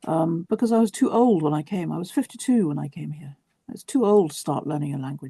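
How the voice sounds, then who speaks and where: A woman speaks very fast with a southern English accent, her fairly low voice dark and mellow in tone, her pitch swinging very widely and her loudness rising and falling by big amounts. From southern England, West Sussex. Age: 60s. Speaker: writer. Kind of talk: interview.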